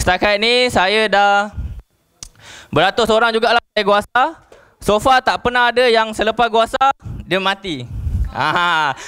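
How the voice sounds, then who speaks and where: Over a quiet background, a man with a high pitch and a bright, sharp tone uses a raised, projected voice at very even loudness, keeping a fairly slow pace with long, frequent pauses. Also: ordinary pitch variation. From Malaysia. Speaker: network marketing distributor; presenter. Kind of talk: sales presentation. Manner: animated. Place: hall.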